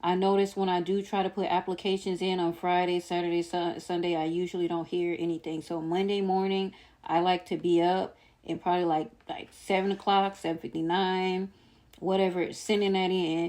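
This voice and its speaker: A woman speaks at a fairly low pitch and a moderate pace with a dark, mellow tone. Her intonation is monotone and flat, and the recording is very clean with a silent background. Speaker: vlogger sharing personal journey. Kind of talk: casual vlog monologue. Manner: stumbling, self-described stuttering.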